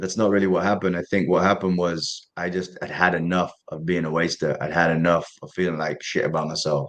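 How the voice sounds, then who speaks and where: A man talks very fast in an East Midlands accent, with hardly any pauses. His very deep, low voice keeps fairly even intonation. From Derby, England. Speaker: professional boxer. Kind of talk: interview answer. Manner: candid, casual, swears.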